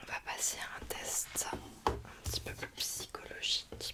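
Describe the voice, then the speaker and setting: Someone is whispering in a gentle tone over noticeable background noise. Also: woman. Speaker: ASMR creator playing a doctor. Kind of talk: ASMR roleplay, soft consultation talk. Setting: studio, close microphone. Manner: soft-spoken, whispering, gentle.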